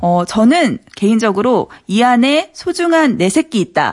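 At a fairly slow pace, a woman with a fairly high pitch makes very wide pitch swings. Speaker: radio news reporter. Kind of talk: news segment on radio.

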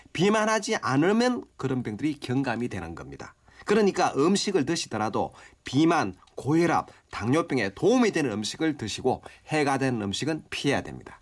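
With vocal fry in his voice, the man swings his pitch very widely. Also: fairly high pitch for a man, moderate pace. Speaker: professor of Korean medicine. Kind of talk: expert health advice. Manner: formal, explanatory.

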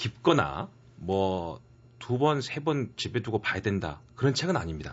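This man's fairly low voice carries vocal fry and very wide pitch swings. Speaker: professor, regular book recommender. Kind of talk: casual radio chat and book reading.

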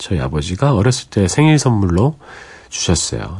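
A man talks at a fairly quick pace in a fairly low voice. His pitch swings very widely, and there is noticeable background noise. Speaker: radio DJ. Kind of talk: late-night radio show. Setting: radio studio. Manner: warm, gentle storytelling.

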